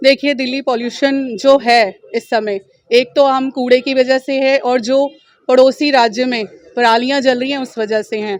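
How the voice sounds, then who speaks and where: At a fairly slow pace, a woman speaks with a high pitch and fairly even intonation. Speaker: election candidate. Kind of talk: press interview.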